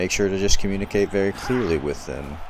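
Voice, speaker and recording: Noticeable background noise runs under a man speaking with an American accent and fairly even intonation. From US South. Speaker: gaming YouTuber. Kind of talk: gameplay commentary. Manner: casual, conversational.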